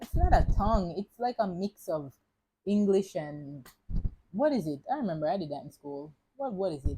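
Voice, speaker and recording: A woman's medium-pitched, somewhat breathy voice in a Jamaican accent, dark and mellow, with very wide pitch swings at a moderate pace. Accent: Jamaican English, switching into patois. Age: young. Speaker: podcast host. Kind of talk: casual motivational monologue. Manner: animated, chatty.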